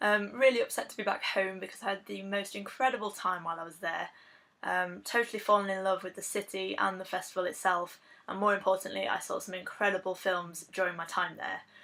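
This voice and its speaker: In an English accent, a woman talks at a very fast pace with a bright, sharp tone, fairly even intonation and big swings in loudness. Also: medium pitch for a woman. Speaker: film reviewer. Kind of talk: video blog review. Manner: casual with frequent fillers.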